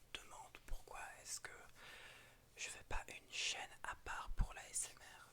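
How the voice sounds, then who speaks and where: Someone whispers at a very slow pace. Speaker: ASMR and gaming YouTuber. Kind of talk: ASMR whispering. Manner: whispering; soothing.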